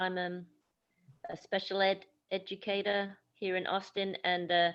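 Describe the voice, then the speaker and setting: A woman with a British accent talks at a fairly slow pace, her medium-pitched voice monotone and flat. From UK. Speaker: special education teacher. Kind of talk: group discussion on video call. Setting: video call.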